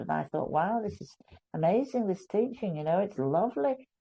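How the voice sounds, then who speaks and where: A woman's voice with vocal fry. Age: 70s. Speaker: guest on a faith discussion show. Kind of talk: testimony.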